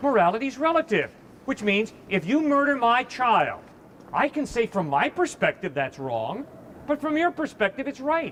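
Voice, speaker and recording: The loud voice moves at a moderate pace with lively intonation over noticeable background noise. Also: man, extremely high pitch for a man. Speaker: campus evangelist. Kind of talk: heated debate.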